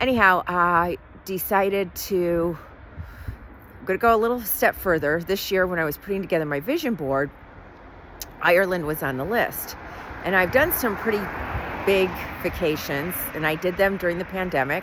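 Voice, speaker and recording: A woman with an American accent speaks at medium pitch with ordinary pitch variation. Her speech has long, frequent pauses, and there is noticeable background noise. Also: moderate pace. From Southern California. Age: 60s. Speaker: vlogger, hotel site selection business owner. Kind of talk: casual personal vlog.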